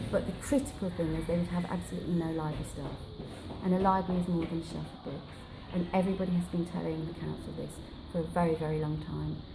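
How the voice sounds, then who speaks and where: A soft-spoken woman talks at a very fast pace in a passionate tone. Noticeable background noise runs underneath. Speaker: library campaigner. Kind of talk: interview answer. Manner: soft-spoken, passionate.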